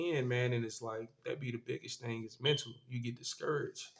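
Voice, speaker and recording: Speaking at a moderate pace, a man with a medium-pitched, somewhat breathy voice keeps his intonation fairly even. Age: 20s. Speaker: vlogger. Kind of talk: casual monologue. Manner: casual, halting with fillers.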